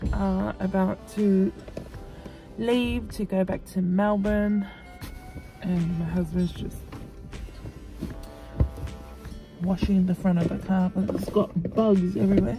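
Clear music plays in the background as a woman speaks at a very slow pace with long, frequent pauses, the sound dry with no echo. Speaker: vlogger. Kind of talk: casual vlog chat. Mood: relaxed, content. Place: car. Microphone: phone near.

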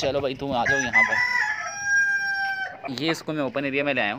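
There is faint background noise as a man with a bright, sharp tone talks at a moderate pace with ordinary pitch variation. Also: medium pitch for a man.

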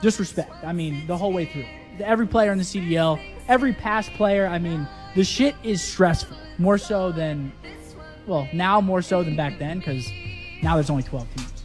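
With clear music in the background, a man with a high pitch talks at a moderate pace using ordinary pitch variation. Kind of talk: casual stream talk. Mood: reflective, relieved. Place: studio. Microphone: studio mic.

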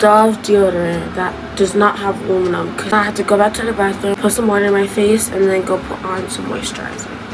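With noticeable background noise behind her, a woman talks fairly quickly in a flat monotone with hardly any pauses. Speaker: vlogger. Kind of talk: casual vlog chat. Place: home room. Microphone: phone near.

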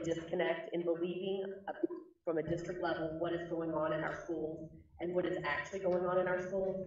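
The voice has monotone, flat intonation at a moderate pace, with audible room echo. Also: woman. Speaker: school board member. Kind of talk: board meeting discussion. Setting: video call. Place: meeting room.

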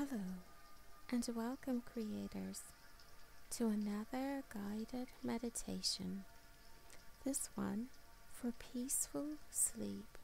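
A woman talks in a calm, soothing tone at a very slow pace, with long, frequent pauses. Music plays behind her. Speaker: meditation guide and channel host. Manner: slow, soothing, gentle; calm and soft-spoken, with long pauses.

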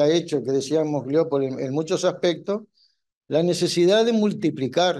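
The man here has a high pitch with ordinary pitch variation. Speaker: trade union institute director. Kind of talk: panel talk. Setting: university hall with audience.

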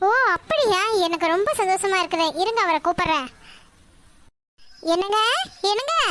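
A woman uses a cartoonish character voice with an extremely high pitch, lively intonation, and a moderate pace.

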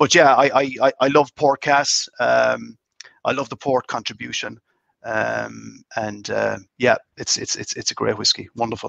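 In a dry sound with no echo and a quiet background, a man with a Cork accent speaks at a fairly slow pace. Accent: Irish (Cork). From Ireland, County Cork (Mitchellstown); County Cork, Ireland. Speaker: master distiller; guest. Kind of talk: casual interview chat. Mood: warm, enthusiastic. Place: home room. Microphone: video call.

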